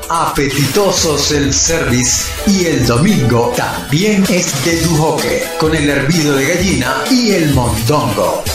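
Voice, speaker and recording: A man talking very slowly with hardly any pauses, with audible room echo and clear music in the background. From Venezuela. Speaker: voice actor. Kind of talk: radio commercial read.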